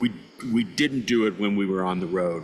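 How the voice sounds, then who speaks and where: The voice is monotone, with flat intonation, at a moderate pace. Noticeable background noise runs underneath. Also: man. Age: 60s. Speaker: podcast host. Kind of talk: casual interview conversation. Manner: halting, many fillers.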